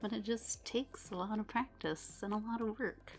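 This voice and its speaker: Fairly slow, fairly even speech from a woman with a fairly high pitch, music playing behind her. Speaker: artist. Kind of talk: casual voice-over to drawing video.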